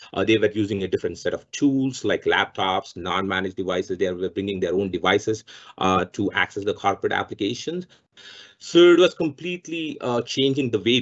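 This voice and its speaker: Against a quiet background, a man talks at a fairly quick pace. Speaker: presenter. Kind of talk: webinar presentation. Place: home room. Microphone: webcam.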